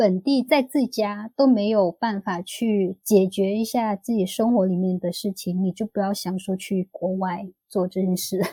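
A woman's somewhat breathy voice, dark and mellow in tone, at a fairly slow pace with ordinary pitch variation, dry and close with no echo, on a very clean recording with a silent background. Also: medium pitch for a woman. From Vietnam (ethnic Chinese). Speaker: former working holiday traveller. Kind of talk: casual interview chat.

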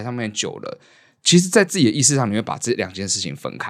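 Very wide pitch swings mark a man's very fast, medium-pitched speech with vocal fry, recorded very cleanly against a silent background. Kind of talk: casual chat.

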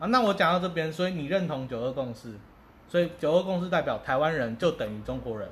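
Using lively intonation, a man speaks at a very fast pace. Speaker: podcast co-host. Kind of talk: casual chat.

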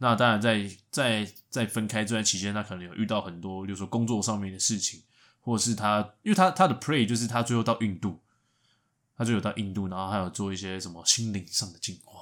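An ordinary speaking voice from a man, fairly low in pitch, fairly quick, with fairly even intonation, big swings in loudness, and a very clean recording with a silent background. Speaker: podcast co-host. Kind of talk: casual chat.

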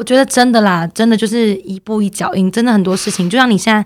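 Very fast and with fairly even intonation, a woman speaks on a very clean recording with a silent background. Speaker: dance and yoga teacher, co-host. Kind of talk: casual chat.

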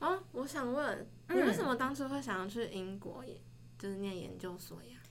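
A woman speaks at a fairly quick pace with big swings in loudness against noticeable background noise. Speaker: university student. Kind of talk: casual chat.

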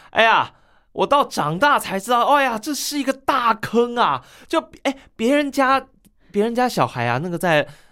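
In a very clean recording with a silent background, a woman with a high, bright, sharp voice speaks at a moderate pace with an animated tone and lively intonation. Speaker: crosstalk performer and teacher. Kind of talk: casual interview.

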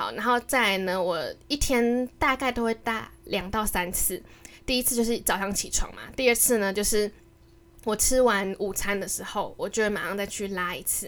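At a moderate pace and with ordinary pitch variation, this is a normal speaking voice. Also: woman, fairly high pitch for a woman. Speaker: podcast co-host. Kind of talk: casual monologue.

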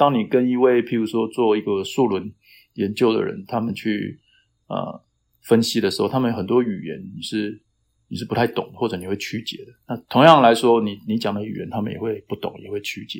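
A man talks at a moderate pace with a medium pitch and ordinary pitch variation. His loudness swings in big ways. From Taiwan (Taitung). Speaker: climate science professor. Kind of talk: interview. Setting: remote call. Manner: hesitant, many fillers.

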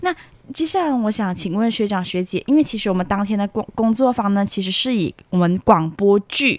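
A woman talks at a moderate pace in a normal speaking voice, medium in pitch, with lively intonation. The sound is dry and close with no echo. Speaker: student campus reporter. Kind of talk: interview hosting.

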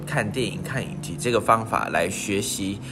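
Music plays behind a man of medium pitch who talks at a moderate pace, with audible room echo. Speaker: podcast co-host, student. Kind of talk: casual chat.

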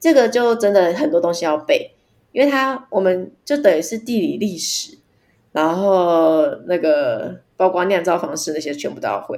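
At a moderate pace, a woman talks in a medium pitch. Her pitch swings are very wide. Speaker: wine distributor, former bar owner. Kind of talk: casual chat. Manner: loud.

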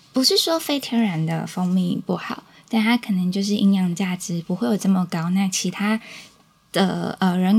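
A woman at a medium pitch speaks at a moderate pace with ordinary pitch variation, over noticeable background noise. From Taiwan, Changhua (Huatan). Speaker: small business owner, beekeeping family. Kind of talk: interview.

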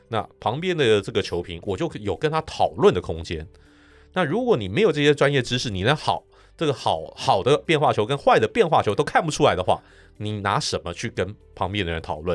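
On a very clean recording with a silent background, a man at medium pitch talks at a fairly quick pace, with very wide pitch swings and vocal fry. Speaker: sports broadcaster. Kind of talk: casual interview.

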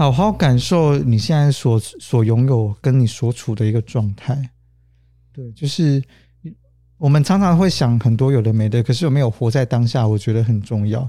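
A man's somewhat breathy voice with a dark, mellow tone, medium pitch, ordinary pitch variation and a moderate pace. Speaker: social worker. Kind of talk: interview.

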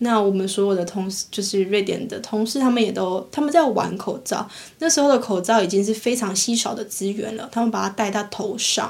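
In an unremarkable speaking voice, a woman talks at a fairly quick pace with hardly any pauses, using a fairly high pitch and ordinary pitch variation. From Taiwan. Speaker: podcast co-host. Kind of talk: casual chat.

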